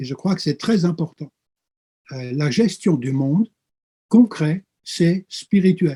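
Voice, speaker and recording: A man's high-pitched voice with a dark, mellow tone, a very slow pace and long, frequent pauses. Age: 60s. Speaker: pastor and theology professor. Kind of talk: interview. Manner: hesitant with frequent fillers.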